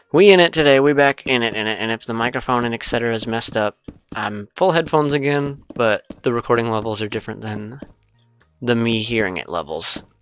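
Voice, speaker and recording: The words come at a fairly quick clip. Behind them, music plays. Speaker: gaming YouTuber. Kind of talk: gameplay commentary. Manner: casual, rambling.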